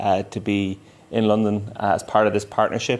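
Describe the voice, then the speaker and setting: In an Irish accent, a man talks with a fairly low pitch. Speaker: tech company solution engineering lead. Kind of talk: conference presentation. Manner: fast.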